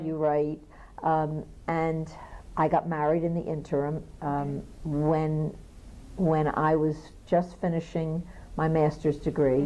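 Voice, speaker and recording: A woman with a Philadelphia accent, a very deep, low pitch and a dark, mellow tone talks at a very slow pace with long, frequent pauses. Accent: Philadelphia American English. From Philadelphia, USA. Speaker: pianist and teacher. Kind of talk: oral history interview.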